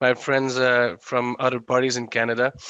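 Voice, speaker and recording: At a moderate pace, a man talks with a Quebec accent. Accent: Québécois French accent in English. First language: French. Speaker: legislator. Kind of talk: panel speech. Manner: halting.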